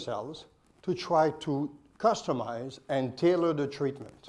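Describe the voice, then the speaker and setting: A man has an unremarkable speaking voice at a fairly high pitch. His pitch varies in an ordinary way. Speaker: oncologist. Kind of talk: conference presentation.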